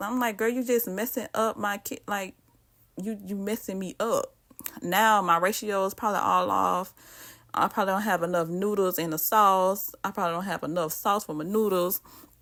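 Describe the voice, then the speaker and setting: A woman with a Southern US accent talks at a medium pitch in a very clean recording with a silent background. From US South. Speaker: cooking vlogger. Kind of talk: cooking tutorial. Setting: home kitchen. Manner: casual, chatty.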